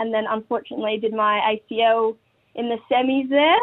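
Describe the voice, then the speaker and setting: A woman speaks with an Australian accent. Her pitch is fairly high and her intonation fairly even. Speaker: women's footballer and school teacher. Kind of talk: casual radio interview.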